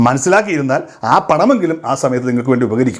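A man's lively intonation comes across despite noticeable background noise. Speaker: social media commentator. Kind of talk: monologue to camera.

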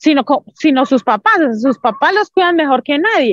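A woman talks at a fairly slow pace with lively intonation. The sound is dry with no echo, and the background is quiet. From Colombia, Santander. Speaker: Paralympic athlete; interview guest. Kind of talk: interview testimony. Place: open country. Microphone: video call.

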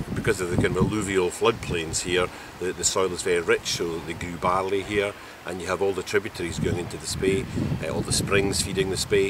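Over loud background noise, a man talks at a fairly quick pace, with a dry sound and no echo. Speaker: canoe trip guide. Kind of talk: interview answer. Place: waterside.

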